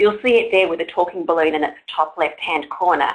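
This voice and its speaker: A woman with an Australian accent speaks at a moderate pace with lively intonation. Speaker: online forum moderator. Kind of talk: event introduction. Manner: formal.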